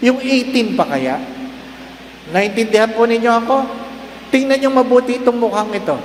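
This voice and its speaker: An extremely high-pitched male voice at a moderate pace, with ordinary pitch variation, audible room echo and noticeable background noise. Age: 60s. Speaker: priest. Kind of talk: sermon. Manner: animated.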